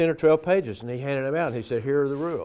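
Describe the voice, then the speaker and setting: A man talks at medium pitch with lively intonation. Noticeable background noise is present. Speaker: town mayor, former basketball player. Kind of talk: interview answer.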